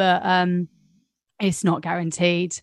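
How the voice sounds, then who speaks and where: With a southern English accent, a woman of medium pitch speaks at a fairly slow pace in a dry, close sound with no echo, over a quiet background. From West Sussex, southern England. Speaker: flight attendant and podcast co-host. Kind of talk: casual chat.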